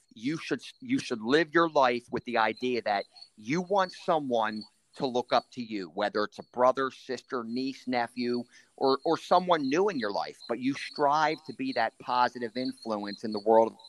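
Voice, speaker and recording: With an American accent, a man has a plain, everyday voice, ordinary pitch variation and a moderate pace. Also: medium pitch for a man. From Maryland, Anne Arundel County. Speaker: county sheriff. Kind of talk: interview.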